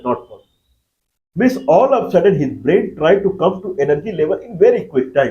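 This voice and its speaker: A man with a Bihari accent, a high voice, a dark, mellow tone and a fairly quick pace. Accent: Indian (Bihari) English. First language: Magahi. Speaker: YouTube lecturer. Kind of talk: lecture.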